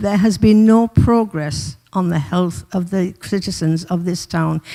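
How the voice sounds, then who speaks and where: A woman with a Teesside accent, a dark, mellow tone, ordinary pitch variation and a fairly slow pace, on a very clean recording with a silent background. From northern England, Middlesbrough. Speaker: community campaigner presenting a petition. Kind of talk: public address at council meeting. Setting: council chamber meeting.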